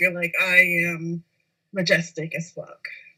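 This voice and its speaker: This woman talks in a Spanish accent at a medium pitch. Her intonation stays monotone and flat. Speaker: podcast co-host. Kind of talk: casual chat.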